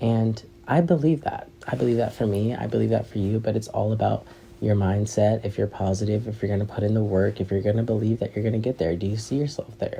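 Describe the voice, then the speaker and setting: Over noticeable background noise, a man talks at a very fast pace in a fairly low pitch with fairly even intonation. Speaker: podcast host. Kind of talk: casual monologue.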